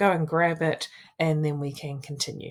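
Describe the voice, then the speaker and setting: A woman with a New Zealand accent speaks at a moderate pace in a very deep, low pitch. The recording is very clean, with a silent background. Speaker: wellbeing coach and social worker. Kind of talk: coaching tutorial.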